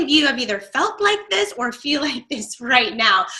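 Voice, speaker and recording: Her voice raised and projected, a woman speaks at a moderate pace with a high pitch, a bright, sharp tone and lively intonation. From Florida, Tampa. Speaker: online marketing coach. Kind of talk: webinar training.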